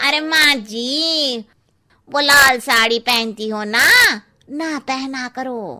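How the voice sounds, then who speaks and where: A woman speaks very slowly in a high, cartoonish character voice. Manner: cheeky, meddling.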